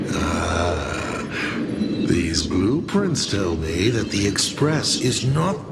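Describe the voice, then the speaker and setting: A man uses a put-on character voice at a fairly low pitch, speaking very slowly. Loud background noise runs underneath. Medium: fan dub. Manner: theatrical, wry.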